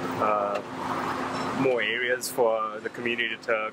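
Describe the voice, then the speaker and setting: Over loud background noise, a man speaks with a dry sound and no echo. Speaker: student and local resident. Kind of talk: street interview. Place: street.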